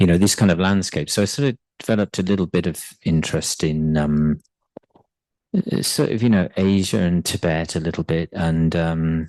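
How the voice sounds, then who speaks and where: Speaking at a moderate pace with very even loudness, a man with a southern English accent has a very deep, low pitch. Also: ordinary pitch variation. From England, Bristol (south). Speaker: translator. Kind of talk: personal talk. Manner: halting.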